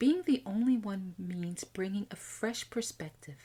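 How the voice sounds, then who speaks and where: A woman's medium-pitched, somewhat breathy voice with a dark, mellow tone, lively intonation and an American accent, at a moderate pace. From USA. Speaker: podcast host, IT executive coach. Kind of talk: scripted podcast monologue.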